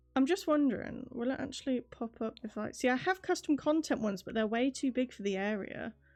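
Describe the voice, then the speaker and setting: A high-pitched woman with a British accent, speaking with hardly any pauses. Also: lively intonation, fairly quick pace. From Britain. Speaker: VTuber streamer. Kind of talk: casual gameplay stream chat. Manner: casual, chatty.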